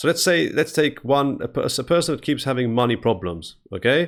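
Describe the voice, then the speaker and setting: Lively intonation from a man at medium pitch with vocal fry, at a moderate pace, on a very clean recording with a silent background. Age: 40s. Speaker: interviewer. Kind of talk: interview.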